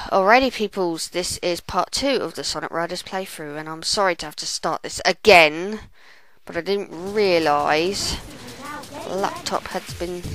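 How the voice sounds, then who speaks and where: Over noticeable background noise, a woman speaks fairly slowly at a fairly low pitch, with ordinary pitch variation and big swings in loudness. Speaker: video game commentator. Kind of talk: gameplay commentary. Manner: stuttering; casual. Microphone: laptop microphone.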